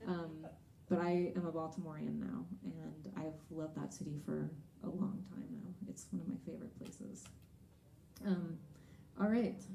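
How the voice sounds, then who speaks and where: With an American accent, a woman speaks with long, frequent pauses, and audible room echo surrounds her voice. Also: moderate pace. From Texas. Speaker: singer-songwriter. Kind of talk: stage banter between songs. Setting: live concert stage with audience.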